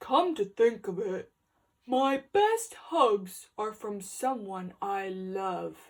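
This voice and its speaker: A woman's put-on character voice at medium pitch, delivered very slowly. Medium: read story. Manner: earnest, sniffly.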